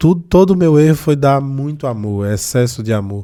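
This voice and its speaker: The man's tone is dark and mellow, his tempo moderate, and his pitch varies in an ordinary way. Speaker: neuropsychologist. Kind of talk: interview.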